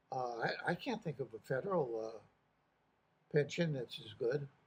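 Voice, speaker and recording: A somewhat breathy man speaks at a fairly slow pace in a fairly high pitch. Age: 80s+. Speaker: retired correctional officer. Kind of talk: casual talk to camera. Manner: hesitant, many filler words.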